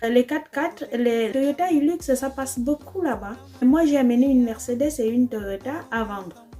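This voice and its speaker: The speaker has an Equatorial Guinean accent and keeps a moderate pace. Music plays in the background. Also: woman, high pitch for a woman, ordinary pitch variation. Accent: African, Spanish-speaking. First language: Spanish (speaking French). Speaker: trader shipping containers. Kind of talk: casual vlog. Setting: in her bedroom. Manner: hesitant, many fillers.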